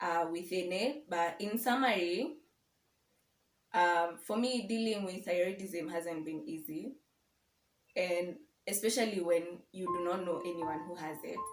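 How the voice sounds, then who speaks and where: Someone speaks at a fairly slow pace with long, frequent pauses. Audible room echo fills the recording. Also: woman, medium pitch for a woman, lively intonation. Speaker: lifestyle vlogger. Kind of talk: casual vlog talk to camera. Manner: loud.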